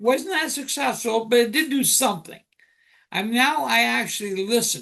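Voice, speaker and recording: Speaking at a moderate pace, a man projects a raised, high-pitched voice with a bright, sharp tone. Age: 60s. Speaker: life coach and author. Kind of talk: interview.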